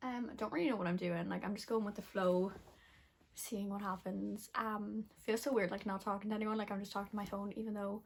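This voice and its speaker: A somewhat breathy woman's voice at medium pitch, fairly quick in pace, with fairly even intonation. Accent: Irish Midlands. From Ireland, Westmeath (Athlone). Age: 20s. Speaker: beauty and lifestyle vlogger. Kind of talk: casual vlog talk to camera. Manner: fast; rambling, filler-heavy.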